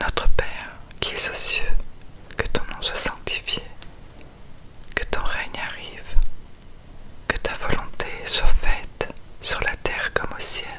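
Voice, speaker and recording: A woman whispers in a soothing tone at a very slow pace. Noticeable background noise sits behind her. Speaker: ASMR creator reading the Gospel. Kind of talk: whispered bedtime scripture reading. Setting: studio, close microphone. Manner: whispered, soft, slow, soothing.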